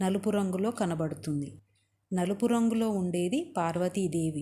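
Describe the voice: A quiet background, plain reading aloud, and ordinary pitch variation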